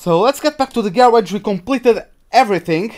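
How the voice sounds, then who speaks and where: A man with a Portuguese accent. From Portugal. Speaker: gaming streamer. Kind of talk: live gameplay commentary. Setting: live stream. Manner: casual, halting.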